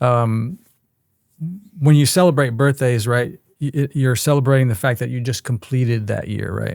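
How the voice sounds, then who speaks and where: A man talks at a moderate pace and a medium pitch, with ordinary pitch variation. He has an unremarkable speaking voice. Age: 60s. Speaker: strength coach. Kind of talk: casual interview chat.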